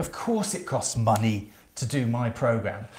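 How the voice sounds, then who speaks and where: A man talks in a somewhat breathy voice with lively intonation. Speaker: self-esteem coach. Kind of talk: casual talk to camera, sales pitch. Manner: fast; hesitant, many fillers.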